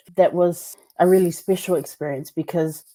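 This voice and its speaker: In a New Zealand accent, a woman speaks at a moderate pace and a medium pitch with monotone, flat intonation. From New Zealand, Samoan community. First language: Samoan. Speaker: teacher and podcaster. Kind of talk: interview. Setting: video call. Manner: casual, conversational with fillers.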